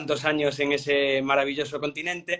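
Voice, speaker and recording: At a moderate pace, a man speaks with a Galician accent. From Galicia, Spain. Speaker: journalist. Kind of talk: interview.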